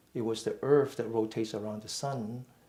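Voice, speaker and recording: A somewhat breathy man speaks at a moderate pace. His pitch is medium. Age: 60s. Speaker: mindful fitness and meditation teacher. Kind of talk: lecture. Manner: halting.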